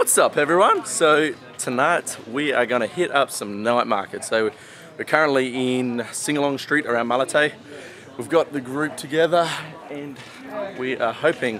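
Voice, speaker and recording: Moderate pace, ordinary pitch variation, and a dry sound with no echo, with music in the background. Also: man. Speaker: travel vlogger. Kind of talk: casual vlog chat. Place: street. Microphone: phone near.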